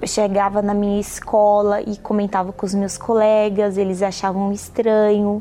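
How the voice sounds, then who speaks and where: This is an unremarkable speaking voice delivered at a fairly slow pace. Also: woman. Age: 30s. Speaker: nursing student. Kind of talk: testimony.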